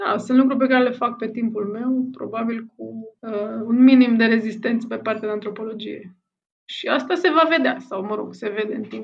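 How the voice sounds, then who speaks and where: A somewhat breathy woman's voice at a fairly high pitch, with ordinary pitch variation, big swings in loudness and a moderate pace. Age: 40s. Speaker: anthropologist and novelist. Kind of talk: interview. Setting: remote call.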